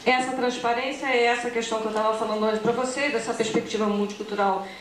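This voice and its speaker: Noticeable background noise and audible room echo surround the recording. A woman speaks at a fairly high pitch. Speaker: academic researcher presenting. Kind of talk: conference presentation. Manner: fast; hesitant fillers.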